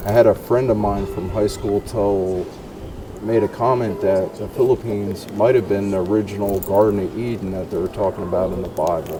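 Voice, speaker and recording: Fairly even intonation at a moderate pace in an American accent, with noticeable background noise. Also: man. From US Northeast, New Jersey. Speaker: vlogger interviewer. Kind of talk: casual interview. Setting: outdoors at night.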